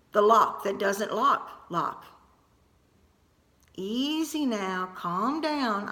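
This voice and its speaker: A woman puts on a squeaky character voice, fairly high in pitch, with lively intonation, a very slow pace, and long, frequent pauses. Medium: read story.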